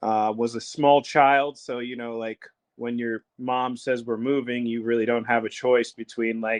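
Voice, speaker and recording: A man at a fairly slow pace, monotone and flat, in a dry, close sound with no echo. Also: medium pitch for a man. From Puerto Rico, then US South and Chicago. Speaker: professional wrestler. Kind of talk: casual chat. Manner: hesitant, many fillers.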